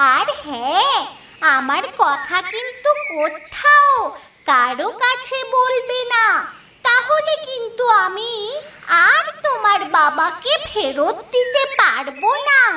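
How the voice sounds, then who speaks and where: A cartoonish character voice at an extremely high pitch, with very wide pitch swings and a very slow pace. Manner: mysterious, persuasive.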